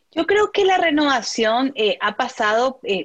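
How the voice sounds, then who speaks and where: Her voice sits high in pitch. The woman keeps to a moderate pace. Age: young. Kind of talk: interview. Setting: video call.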